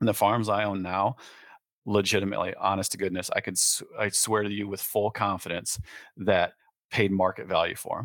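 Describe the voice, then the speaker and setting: A man with a Midwestern US accent speaks fairly quickly at a fairly low pitch. His intonation is monotone and flat. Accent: US Midwest. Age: 40s. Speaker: real estate broker and landowner. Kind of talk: casual interview.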